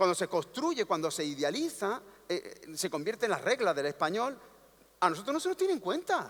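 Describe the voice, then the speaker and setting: A man speaks fairly quickly with an Andalusian accent, his pitch high. His tone is animated, with very wide pitch swings. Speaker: panel speaker at cultural congress. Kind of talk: panel talk. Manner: animated, rhetorical.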